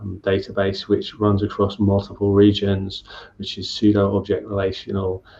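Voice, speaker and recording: Against a quiet background, a man speaks in a fairly low, somewhat breathy voice. His intonation is monotone and flat. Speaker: software engineer, conference speaker. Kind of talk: Q&A after a talk. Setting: online meetup video call. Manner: fast.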